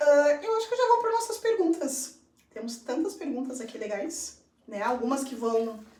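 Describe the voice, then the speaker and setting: A woman with a high voice talks at a moderate pace. Her pitch swings very widely, and her loudness varies greatly. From Brazil. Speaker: English teacher and school coordinator. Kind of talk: live stream conversation. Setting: live stream.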